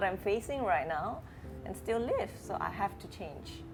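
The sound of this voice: Pitch shifts by ordinary amounts. The speech moves at a moderate pace. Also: woman.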